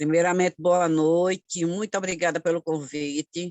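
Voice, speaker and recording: The speaker is a woman with a fairly low pitch. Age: 60s. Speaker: community activist. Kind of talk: online course talk.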